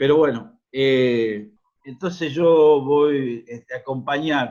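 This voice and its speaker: A man talks in a plain, everyday voice. His pitch is medium, with ordinary pitch variation. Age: 60s. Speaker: union activist. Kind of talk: forum contribution.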